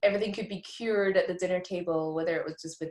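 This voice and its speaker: A woman speaks very fast with a Scottish accent, her fairly low pitch carried on fairly even intonation. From rural Scotland. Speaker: immunologist. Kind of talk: interview.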